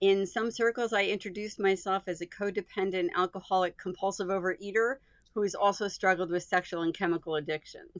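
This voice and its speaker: In an ordinary speaking voice, a woman talks at a fairly quick pace, her pitch medium and her intonation fairly even. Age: 60s. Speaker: patient sharing recovery experience. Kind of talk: panel discussion testimony.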